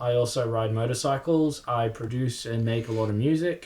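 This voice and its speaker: Somewhat breathy, a man with an Australian accent speaks at a fairly slow pace. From Australia (North Queensland) and Fiji. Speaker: snowboarding YouTuber and music producer. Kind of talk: casual chat. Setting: home studio.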